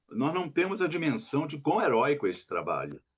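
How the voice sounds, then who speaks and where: A man speaks against a quiet background. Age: 70s. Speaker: writer. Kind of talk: interview.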